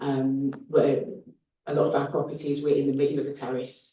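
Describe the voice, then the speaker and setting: A man with a Birmingham accent speaks in a dark, mellow tone that is somewhat breathy. There is audible room echo. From Birmingham, England. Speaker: HMO landlord applicant. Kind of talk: planning committee Q&A. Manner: hesitant, many fillers.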